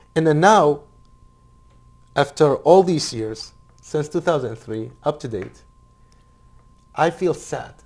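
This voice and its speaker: Fairly high male voice in an Arabic accent, lively in intonation, very slow, with long, frequent pauses. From Iraq. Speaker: Iraqi refugee and former military interpreter. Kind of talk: interview. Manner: halting.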